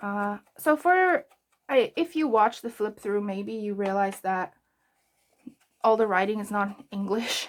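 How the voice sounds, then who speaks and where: A woman's relaxed, medium-pitched voice, fairly slow with long, frequent pauses and ordinary pitch variation. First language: Afrikaans. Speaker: journaling vlogger. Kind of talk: casual craft tutorial chat. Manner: relaxed, hesitant with fillers.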